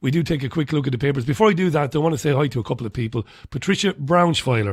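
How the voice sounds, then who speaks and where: Against a silent background in a very clean recording, this man rattles along at a very fast pace, his intonation lively. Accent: Irish. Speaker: radio host. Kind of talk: radio show, casual newspaper review. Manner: loud.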